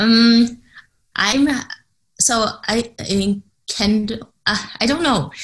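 A woman talks at a very slow pace with long, frequent pauses. Her voice is fairly high and somewhat breathy, with ordinary pitch variation. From Canada. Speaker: entrepreneur and cognitive psychologist. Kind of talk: interview. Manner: hesitant, many fillers.

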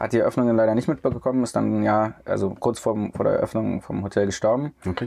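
Moving at a fairly quick pace, the voice carries a dark, mellow tone. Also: man. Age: 30s. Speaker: hotel CEO. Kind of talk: casual interview. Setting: in a camper van.

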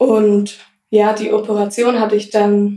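Her voice has a dark, mellow tone and a fairly high pitch. The woman's intonation stays monotone and flat. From Swabia, Germany (Blaubeuren). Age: 20s. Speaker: ostomy patient, lab technician. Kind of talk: casual interview.

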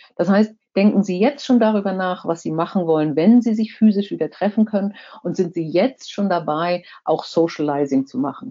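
A woman with a plain, everyday voice speaks at a medium pitch. Her pace is moderate and her intonation is lively. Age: 60s. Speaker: corporate board member and former finance executive. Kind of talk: talk to a professional association. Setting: virtual online event.

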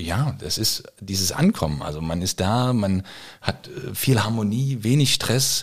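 Speaking fairly slowly, a man with an unremarkable speaking voice uses a fairly low pitch and lively intonation. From eastern Germany (former GDR). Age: 40s. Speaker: firefighter and chef. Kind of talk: casual interview. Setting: at his home.

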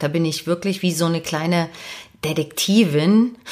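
This woman talks in a fairly low pitch at a moderate pace. Her tone is animated and enthusiastic, and her pitch varies in an ordinary way. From eastern Germany, Dresden (Saxony). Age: 40s. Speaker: podcast host and personal development coach. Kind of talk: podcast monologue, self-introduction. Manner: animated, enthusiastic.

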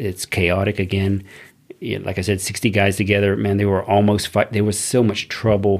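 Speaking at a fairly quick pace, a man with a fairly low voice talks with a Texan accent. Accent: Texan American English. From Texas, Corpus Christi. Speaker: army veteran. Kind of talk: casual chat.

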